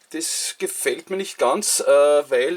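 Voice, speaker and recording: A man speaks with a Viennese accent. Noticeable background noise runs behind him. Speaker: model railway hobbyist. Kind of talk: casual talk to camera.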